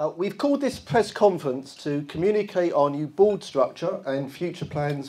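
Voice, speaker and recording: Speaking at a moderate pace with hardly any pauses, a man with a London accent has a dark, mellow tone. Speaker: football club chairman. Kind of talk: press conference statement. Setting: press conference. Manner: formal.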